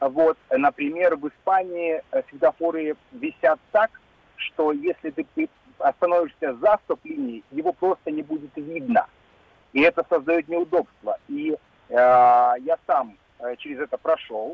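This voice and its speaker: A man speaks at a very slow pace with long, frequent pauses. His pitch is fairly high. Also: ordinary pitch variation. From Russia, Kaliningrad. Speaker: caller. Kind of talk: casual chat. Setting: phone call. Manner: halting.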